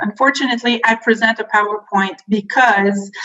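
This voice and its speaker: A woman with a French accent at a moderate pace, over noticeable background noise. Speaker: film board education representative. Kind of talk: workshop presentation. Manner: halting, many fillers.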